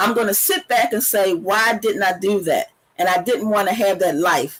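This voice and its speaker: A woman's voice at a medium pitch. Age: 60s. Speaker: debut author and women's empowerment blogger. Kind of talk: interview. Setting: studio. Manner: halting.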